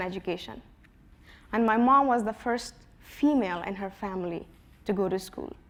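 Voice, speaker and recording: In a room with audible echo, a woman speaks at a fairly high pitch and a moderate pace with ordinary pitch variation. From Afghanistan. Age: 20s. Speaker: activist and school co-founder. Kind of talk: conference talk.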